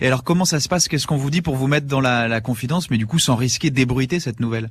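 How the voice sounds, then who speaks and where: Very fast and very even in loudness, a man speaks at medium pitch with ordinary pitch variation and a somewhat breathy voice. The recording is very clean, with a silent background. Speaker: voice actor. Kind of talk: radio interview answer. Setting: radio studio.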